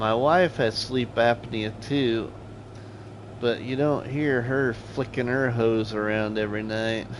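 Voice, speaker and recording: A man with an American accent, a normal speaking voice, medium pitch and a fairly slow pace. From US Midwest (Iowa/Nebraska). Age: 40s. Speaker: gaming streamer. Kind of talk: live gameplay stream chatting with viewers. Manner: casual, conversational.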